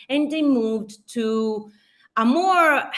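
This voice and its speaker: Her voice is high and bright, with a sharp tone and lively intonation. The woman speaks in an Italian accent. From Italy. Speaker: social media marketing speaker. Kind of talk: conference presentation. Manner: halting, with restarts.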